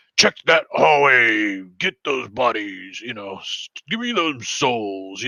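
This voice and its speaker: Putting on a character voice, a man speaks at medium pitch and a fairly slow pace. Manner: commanding, barking orders.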